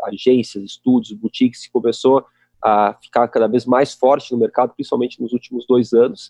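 A man speaks at a medium pitch and moderate pace with a dark, mellow tone. His intonation is monotone and flat, and the sound is dry and close with no echo. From Porto Alegre, southern Brazil. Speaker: company co-founder. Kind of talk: casual chat. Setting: video call.

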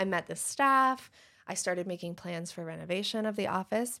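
On a very clean recording with a silent background, a woman with a normal speaking voice talks at a moderate pace and a medium pitch. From Michigan. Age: 30s. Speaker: dentist. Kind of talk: casual chat.

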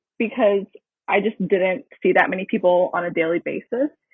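A woman with an unremarkable speaking voice, fairly slow pace and ordinary pitch variation. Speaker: university student. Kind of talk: casual interview.

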